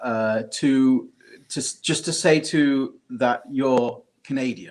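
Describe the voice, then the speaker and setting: A man at a medium pitch with a British accent, ordinary pitch variation and a very slow pace. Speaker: podcast co-host. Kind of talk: casual chat. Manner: halting, many fillers and repeats.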